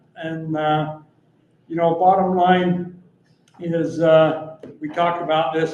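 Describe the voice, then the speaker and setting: A man's fairly high, flat, monotone voice at a very slow pace, with long, frequent pauses and audible room echo. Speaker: city department head presenting budget. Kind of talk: budget meeting presentation. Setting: city council meeting.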